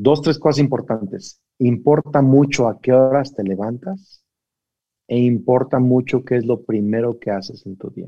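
In a plain, everyday voice, a man speaks at a fairly slow pace and medium pitch, with ordinary pitch variation and big swings in loudness. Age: 40s. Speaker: pastor. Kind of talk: casual chat.

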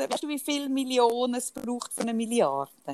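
Her pitch is high, and the woman varies it in an ordinary way. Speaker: podcast co-host. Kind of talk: casual chat.

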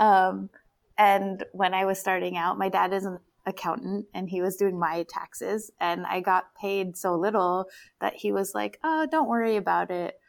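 Speaking with an American accent, a woman with an unremarkable speaking voice uses a medium pitch, ordinary pitch variation and a moderate pace on a very clean recording with a silent background. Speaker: cinematographer and film director. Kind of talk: casual chat.

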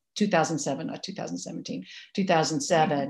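A woman with an American accent talks in a very deep, low pitch with ordinary pitch variation, recorded very cleanly against a silent background. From Massachusetts. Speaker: activist and writer. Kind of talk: interview.

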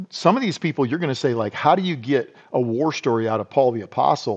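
Speech with an American accent and a lively, bouncing intonation. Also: man. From US Midwest, South Dakota. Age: 50s. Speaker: retired army special forces soldier. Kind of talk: interview conversation. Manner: animated.

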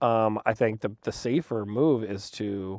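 Speaking in an American accent, the man has a dark, mellow tone. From North Dakota, US Midwest. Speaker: media executive. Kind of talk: casual interview.

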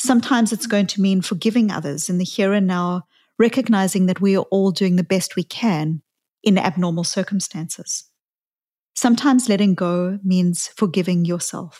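A woman's somewhat breathy voice has a dark, mellow tone and ordinary pitch variation on a very clean recording with a silent background. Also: medium pitch for a woman, moderate pace. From South Africa. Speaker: psychologist podcast host. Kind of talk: reflective talk.

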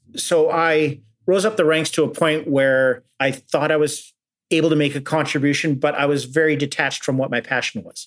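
Speaking at a moderate pace, a man with a Canadian accent holds a fairly high pitch and fairly even intonation. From Canada, Alberta (Edmonton). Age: 40s. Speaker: former journalist turned student. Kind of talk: interview. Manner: halting, with many fillers.

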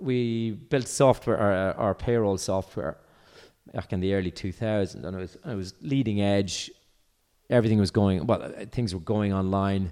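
A man speaks with an Irish accent in a fairly low, dark, mellow voice with ordinary pitch variation. The recording is very clean, with a silent background. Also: moderate pace. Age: 50s. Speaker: entrepreneur. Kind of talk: casual chat. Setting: at home.

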